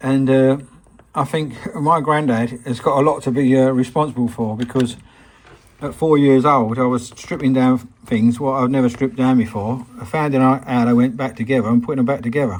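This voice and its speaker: Noticeable background noise accompanies speech at a moderate pace with an English accent and fairly even intonation. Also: man, medium pitch for a man. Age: 60s. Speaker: hobbyist restorer. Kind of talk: workshop tutorial; casual anecdote. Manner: halting.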